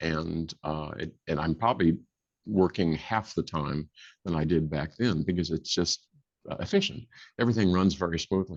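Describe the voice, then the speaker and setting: Very deep, low-pitched man, moderate pace, ordinary pitch variation, quiet background. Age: 60s. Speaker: instrument inventor. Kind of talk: interview. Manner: halting.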